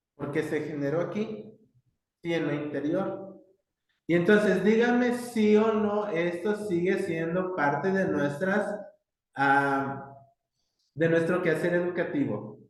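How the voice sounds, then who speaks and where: The speech comes at a very slow pace, broken by long, frequent pauses. The intonation is lively, and audible room echo surrounds it. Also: man, high pitch for a man. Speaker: university professor. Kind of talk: lecture. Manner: hesitant, many fillers.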